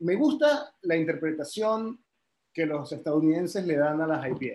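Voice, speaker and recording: With an ordinary speaking voice and ordinary pitch variation, the man keeps a moderate pace. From Caribbean, raised partly in France. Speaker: head brewer. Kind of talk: casual interview.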